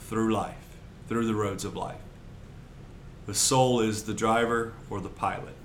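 Amid noticeable background noise and audible room echo, a man of medium pitch talks at a fairly slow pace, with monotone, flat intonation and long, frequent pauses. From Louisiana. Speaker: pastor. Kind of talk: casual interview.

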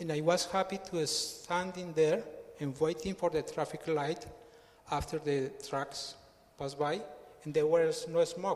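A high-pitched man with a Colombian accent, fairly slow in pace with long, frequent pauses, against noticeable background noise. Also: fairly even intonation. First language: Spanish. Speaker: church member. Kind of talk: testimony. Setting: church.

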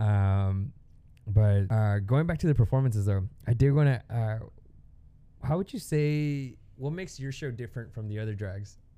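Speaking with an American accent, a man at medium pitch uses lively intonation and a dark, mellow tone at a moderate pace. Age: 20s. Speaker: podcast host. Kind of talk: casual chat.

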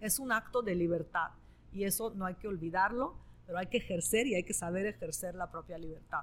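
A woman's medium-pitched voice with vocal fry, an Italian accent, and a fairly quick pace. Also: ordinary pitch variation. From northern Italy. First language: Italian (speaking Spanish). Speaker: novelist. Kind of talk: interview. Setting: live event with audience.

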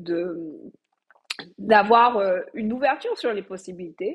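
A woman speaks at a very slow pace. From Martinique. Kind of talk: interview. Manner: halting.

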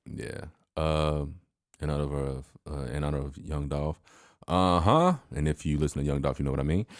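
A man with an American accent, very deep and low in pitch, fairly even in intonation, at a fairly quick pace with long, frequent pauses. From Chicago area. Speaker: podcast co-host. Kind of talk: casual chat.

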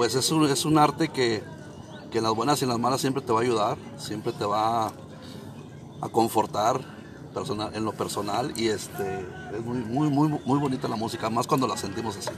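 The speaker goes at a moderate pace with ordinary pitch variation and long, frequent pauses, over noticeable background noise. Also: man. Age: 50s. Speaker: mariachi musician. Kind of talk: interview.

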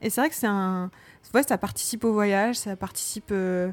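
On a very clean recording, a woman is heard against a silent background. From Normandy, France (Rouen). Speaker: podcast co-host, librarian and parent. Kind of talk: casual chat.

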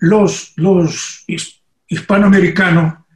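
This man speaks with a high pitch and a Portuguese accent. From Brazil. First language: Portuguese (speaking Spanish). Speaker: poet and politician. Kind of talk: interview. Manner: halting.

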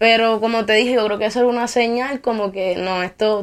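A woman speaks at a moderate pace with a fairly high pitch. The recording is very clean with a silent background. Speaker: rapper. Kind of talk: interview.

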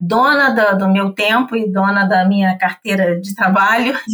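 This woman's pitch is medium, and she has a normal speaking voice. Her pace is moderate, and her intonation stays fairly even. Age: 50s. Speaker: English teacher and entrepreneur. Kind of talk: casual chat.

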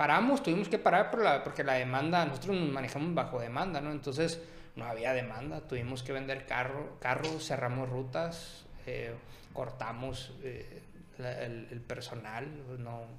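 A man of medium pitch at a moderate pace, ordinary pitch variation, with noticeable background noise and audible room echo. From Sonora, Mexico (Ciudad Obregón). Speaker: image consultant and entrepreneur. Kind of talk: casual chat.

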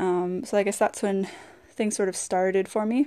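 Against a quiet background, a woman talks at a medium pitch with a dark, mellow tone and fairly even intonation. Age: 20s. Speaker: podcaster and fitness coach. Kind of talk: solo monologue podcast. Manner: casual, with frequent fillers.

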